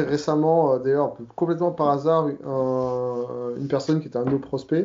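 Speaking at a very slow pace with hardly any pauses, a man keeps his fairly high pitch in fairly even intonation. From southern France (Provence). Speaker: software developer. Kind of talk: casual interview. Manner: hesitant, many fillers.

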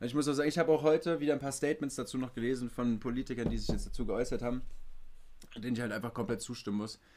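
A man's dark, mellow voice at a very fast pace, with ordinary pitch variation. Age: 20s. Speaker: podcast host. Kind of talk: casual chat. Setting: remote recording from home studio.

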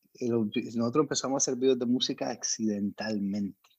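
A man at a medium pitch. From Colombia, Medellín. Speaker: music video producer. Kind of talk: interview.

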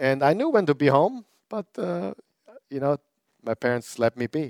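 Recorded with a dry, close sound and no echo, this man speaks at a medium pitch and moderate pace with lively intonation. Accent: German. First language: German. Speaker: pastor. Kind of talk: sermon. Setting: church with live audience, also streamed online.

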